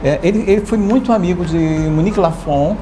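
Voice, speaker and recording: A man's voice comes through audible room echo, with noticeable background noise around it. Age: 60s. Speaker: fashion designer and activist. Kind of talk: interview.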